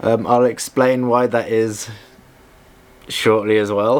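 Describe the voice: Slow-paced, a man speaks with fairly low pitch and little pitch movement.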